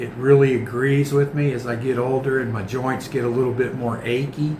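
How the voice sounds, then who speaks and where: Monotone and flat, a man speaks at medium pitch and a moderate pace. Noticeable background noise and audible room echo fill the recording. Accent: American. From United States. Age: 60s. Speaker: vlogger. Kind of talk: casual vlog monologue.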